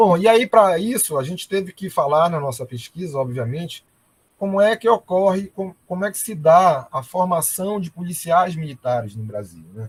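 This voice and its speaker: A high-pitched man at a moderate pace, with big swings in loudness and a dry, close sound with no echo. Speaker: military police colonel and researcher. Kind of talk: academic presentation. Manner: hesitant fillers.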